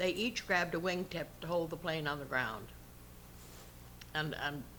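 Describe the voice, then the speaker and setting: At a moderate pace, the voice carries a bright, sharp tone with vocal fry and ordinary pitch variation. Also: woman. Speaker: WW2 women's air force service pilot veteran. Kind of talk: interview answer.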